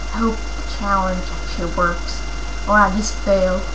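Noticeable background noise behind a woman speaking at a fairly slow pace. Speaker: vlogger. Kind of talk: casual vlog chat. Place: home room. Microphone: headset.

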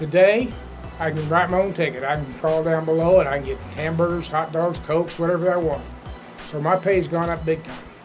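A man speaks with fairly high pitch. Clear music plays in the background. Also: fairly even intonation, fairly quick pace. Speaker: high school sports PA announcer. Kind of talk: interview answer. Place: stage.

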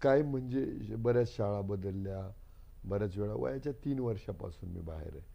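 A man with a dark, mellow tone and a fairly low pitch. His intonation is lively, and his loudness swings widely. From Akole taluka, Ahmednagar district, Maharashtra. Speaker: politician and doctor. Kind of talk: interview.

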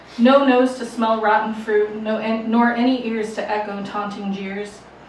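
A woman speaks in a monotone, flat way, with audible room echo and light background noise. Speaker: poet performer. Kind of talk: poetry reading. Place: bar.

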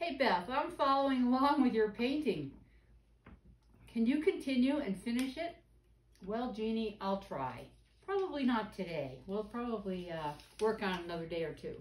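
Somewhat breathy, a woman speaks at a moderate pace with long, frequent pauses and audible room echo. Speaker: painting instructor. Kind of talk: tutorial. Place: studio. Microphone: camera far.

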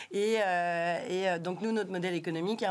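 This woman talks at a moderate pace with a fairly low pitch and fairly even intonation. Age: 40s. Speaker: tech association director; guest. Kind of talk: interview. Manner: hesitant, many fillers. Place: studio. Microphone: studio mic.

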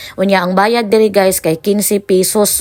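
Here a woman speaks at a medium pitch with a Philippine accent. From Visayas, Philippines. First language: Cebuano (speaking Tagalog). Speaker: vlogger. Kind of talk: travel vlog narration.

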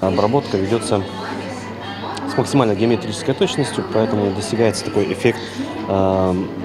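A man with a fairly low pitch and fairly even intonation, at a fairly quick pace with long, frequent pauses, clear music in the background.

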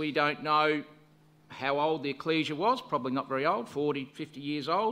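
A man's voice with a bright, sharp tone at a moderate pace. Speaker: lay preacher. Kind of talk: sermon. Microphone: podium.

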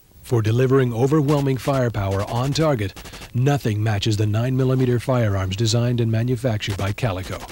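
A man speaks at a fairly quick pace and medium pitch over noticeable background noise. His tone is confident, with very even loudness and fairly even intonation. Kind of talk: vintage TV commercial, scripted sales pitch. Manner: polished, authoritative announcer delivery; brisk, confident, hard-sell tone.

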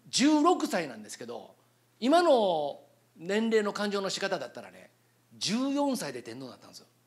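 A man with a high voice speaks at a fairly slow pace in an animated tone against a quiet background. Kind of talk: lecture. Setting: stage with audience. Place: hall. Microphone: handheld.

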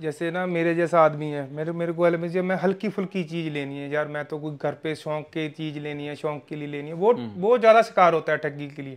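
This man has an unremarkable speaking voice, fairly high in pitch with ordinary pitch variation, moving at a moderate pace with hardly any pauses and big swings in loudness. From Punjab, near Khanna; Punjab. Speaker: horse breeder, stud farm owner. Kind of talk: casual interview. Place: home room. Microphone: lapel.

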